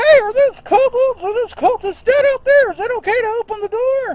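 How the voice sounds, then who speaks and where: Using a put-on, squeaky character voice, a woman talks fairly quickly at an extremely high pitch. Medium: actual play. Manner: loud, shouted through a door.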